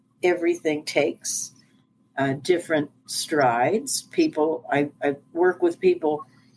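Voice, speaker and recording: Over music in the background, a woman with an American accent and fairly low pitch speaks with ordinary pitch variation and very even loudness. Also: fairly slow pace. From US East Coast. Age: 60s. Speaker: life coach and speaker. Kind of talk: interview.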